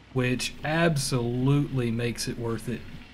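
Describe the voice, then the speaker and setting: Somewhat breathy, a man with an American accent speaks at a very slow pace amid audible room echo. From US South. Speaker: gaming streamer. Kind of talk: live gameplay stream chat. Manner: casual, rambling with fillers.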